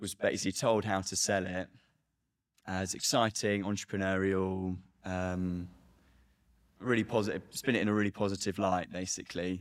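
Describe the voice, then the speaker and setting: The speech is monotone, with flat intonation, at a moderate pace. Long, frequent pauses break it up in a very clean recording with a silent background. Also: man, very deep, low pitch for a man. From Britain. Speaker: recruitment researcher. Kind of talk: interview.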